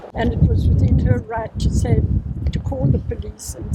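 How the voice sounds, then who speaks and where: Noticeable background noise accompanies a woman who keeps a moderate pace. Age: 90s. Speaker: inquest witness. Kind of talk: testimony.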